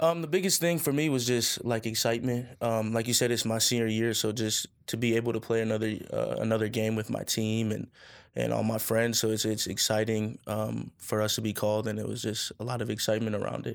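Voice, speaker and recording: This man talks at a fairly quick pace in a medium pitch, with fairly even intonation and an unremarkable speaking voice. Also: very clean recording, silent background. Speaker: college football player. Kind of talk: interview.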